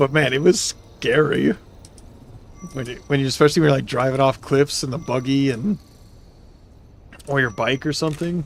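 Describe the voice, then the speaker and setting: In a put-on character voice, a man speaks loudly and raspily at a medium pitch and a moderate pace, with long, frequent pauses. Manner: loud, close to the microphone.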